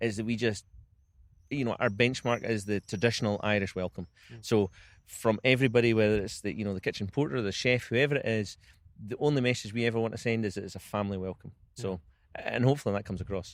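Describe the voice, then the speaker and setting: The recording is very clean with a silent background. A man with a Scottish accent talks very fast at a medium pitch, with fairly even intonation. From Scotland. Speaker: golf club general manager. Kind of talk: interview answer.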